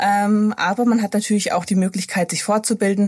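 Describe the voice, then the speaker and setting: Speech comes at a moderate pace in a voice that is somewhat breathy. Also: woman. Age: 30s. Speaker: pediatric intensive care nurse. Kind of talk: interview.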